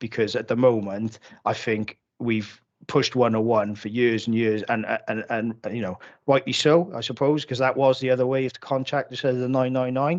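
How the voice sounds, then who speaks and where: In a Cardiff accent, a man speaks at a medium pitch. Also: ordinary pitch variation, moderate pace. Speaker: police officer. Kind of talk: council committee meeting. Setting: video call. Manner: halting, many false starts.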